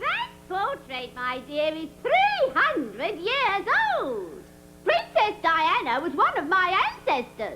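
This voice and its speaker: Using a cartoonish character voice, a woman hits an extremely high pitch with very wide pitch swings at a fairly slow pace, amid clear background noise. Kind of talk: comic overacting. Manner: haughty, theatrical.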